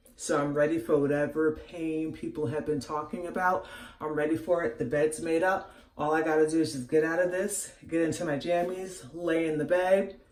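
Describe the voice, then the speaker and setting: Audible room echo surrounds a voice speaking at a moderate pace. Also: woman. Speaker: vlogger. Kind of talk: casual vlog. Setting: bathroom.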